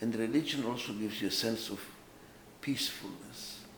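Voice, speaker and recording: A man's voice with ordinary pitch variation and audible room echo. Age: 80s+. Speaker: author and management consultant. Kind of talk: autobiographical talk.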